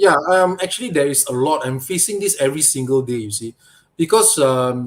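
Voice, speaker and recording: This man talks at a fairly quick pace with a Malaysian accent. His fairly high voice has lively intonation. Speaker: toy photographer and diorama maker. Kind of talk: interview.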